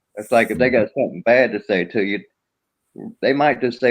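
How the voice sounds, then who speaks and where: In a Southern accent, a man speaks at a moderate pace with a medium pitch. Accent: Southern, rural. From US South. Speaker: live streamer. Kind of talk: casual live stream chat.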